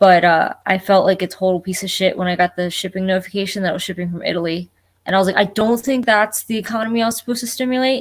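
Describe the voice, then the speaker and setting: Speaking at a very fast pace with a slight New Jersey accent, the voice shows ordinary pitch variation on a very clean recording with a silent background. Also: woman, medium pitch for a woman. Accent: slight New Jersey twang on one word only. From Florida (born New Jersey, moved at four). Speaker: collector panelist. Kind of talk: casual chat. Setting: live stream.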